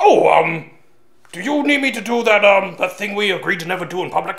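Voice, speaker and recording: A cartoonish character voice with a fairly high pitch moves at a fairly quick pace. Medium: puppet.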